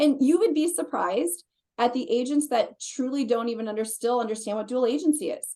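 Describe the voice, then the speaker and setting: With lively intonation, a woman speaks at a high pitch. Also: fairly quick pace. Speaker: real estate agent and team lead. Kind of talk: presentation on a video call. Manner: fast.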